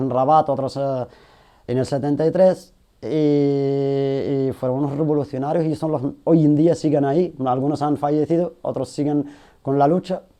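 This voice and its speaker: With a dark, mellow tone, a man speaks in a fairly high voice using fairly even intonation. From Galicia, Spain (born in Sahrawi refugee camps). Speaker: rapper and activist. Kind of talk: interview.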